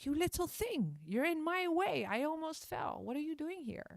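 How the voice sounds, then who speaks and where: A woman shouts loudly in a put-on character voice at an extremely high pitch. Her pace is moderate. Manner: shouting, angry.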